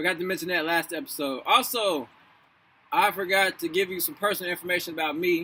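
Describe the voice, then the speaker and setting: A man with a high pitch and a bright, sharp tone speaks at a very fast pace with ordinary pitch variation. The recording is very clean, with a silent background. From Louisville, Kentucky. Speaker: author and actor. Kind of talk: casual vlog, then reading aloud. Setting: outdoors. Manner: loud; casual, halting.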